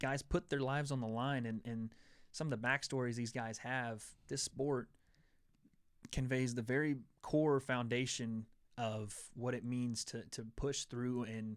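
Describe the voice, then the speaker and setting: In a very clean recording with a silent background, a man of medium pitch speaks with a slight Southern US accent at a fairly slow pace and with fairly even intonation. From Tennessee. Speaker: MMA show host. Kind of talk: casual chat.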